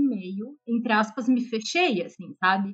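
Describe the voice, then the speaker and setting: Somewhat breathy, this woman's voice sits fairly high in pitch. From Curitiba, southern Brazil. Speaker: guest. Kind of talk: casual chat.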